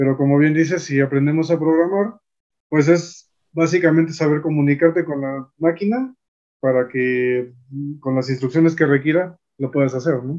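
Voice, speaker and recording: Against a quiet background, a man with a normal speaking voice talks at a moderate pace with a fairly high pitch and ordinary pitch variation. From Mexico. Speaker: YouTube host, physicist; YouTube host. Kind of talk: interview. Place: home room. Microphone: video call.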